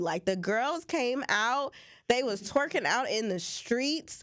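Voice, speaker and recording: Her pitch swings very widely as a woman talks over noticeable background noise. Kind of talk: radio talk show co-host commentary.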